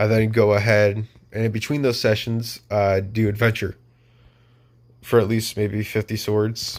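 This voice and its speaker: Long, frequent pauses break up a man's speech. His pitch is fairly low and his intonation monotone and flat. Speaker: gaming youtuber. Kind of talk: tutorial. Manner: stuttering; halting.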